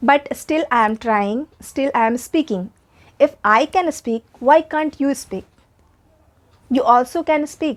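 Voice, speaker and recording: In an Indian accent, a woman with a high pitch speaks at a very slow pace in a dry, close sound with no echo. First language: Hindi. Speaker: English teacher. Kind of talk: tutorial.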